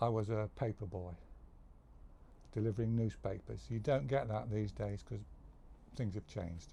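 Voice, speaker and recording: A man's fairly low, dark, mellow, somewhat breathy voice at a moderate pace, with ordinary pitch variation and long, frequent pauses. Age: 70s. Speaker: retired worker sharing life stories. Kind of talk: casual monologue. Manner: halting.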